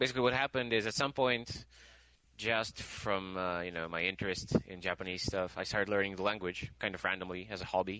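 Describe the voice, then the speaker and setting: Bright and sharp in tone, a man's voice sits at a fairly low pitch. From Russia. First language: Russian. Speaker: game developer. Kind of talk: interview.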